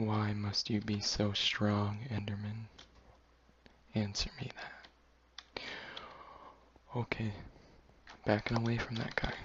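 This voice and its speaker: The speech moves at a very slow pace with long, frequent pauses amid noticeable background noise. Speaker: gaming video creator. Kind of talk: gameplay commentary. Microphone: poor microphone, getting a new one.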